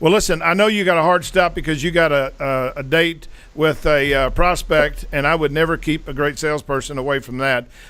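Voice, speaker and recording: With a normal speaking voice, a man talks at a fairly quick pace, fairly high in pitch, with ordinary pitch variation. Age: 60s. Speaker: podcast host and sales mentor. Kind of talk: interview podcast conversation.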